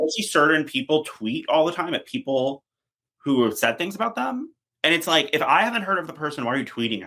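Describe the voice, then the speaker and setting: Lively intonation at a fairly quick pace, bright and sharp in tone. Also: man. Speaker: PR strategist. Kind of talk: podcast interview. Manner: fast.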